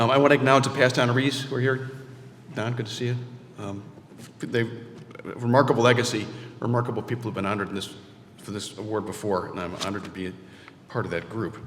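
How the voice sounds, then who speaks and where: At a very fast pace broken by long, frequent pauses, the speech comes with audible room echo and noticeable background noise. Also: man, medium pitch for a man, ordinary pitch variation. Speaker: award honoree. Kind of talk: award acceptance speech. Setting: stage with audience. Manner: halting.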